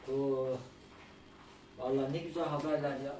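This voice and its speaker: A man speaks amid noticeable background noise. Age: 30s. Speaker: gaming streamer. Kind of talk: live stream cooking chat. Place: kitchen. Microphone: camera far.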